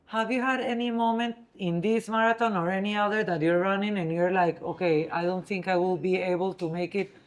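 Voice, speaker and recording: Speaking at a fairly quick pace with hardly any pauses, a woman holds a medium pitch with ordinary pitch variation. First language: Spanish. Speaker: interviewer. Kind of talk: interview.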